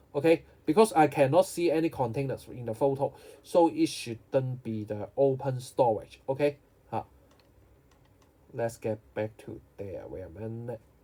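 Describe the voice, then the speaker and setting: A man with a dark, mellow, somewhat breathy voice at medium pitch, moderate in pace, with lively intonation, big swings in loudness and long, frequent pauses. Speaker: geography teacher. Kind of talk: tutorial.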